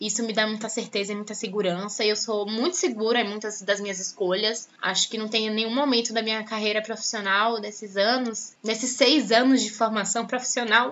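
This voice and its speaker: A woman uses a normal speaking voice with a fairly high pitch and fairly even intonation. She talks at a fairly quick pace with hardly any pauses. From Salvador, Bahia, Brazil. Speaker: journalism student and podcast host. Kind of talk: personal testimony.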